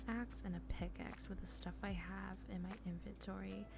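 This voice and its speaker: Audible room echo around a woman's moderate-paced speech. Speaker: gaming youtuber. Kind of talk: gameplay commentary. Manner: hesitant, many fillers.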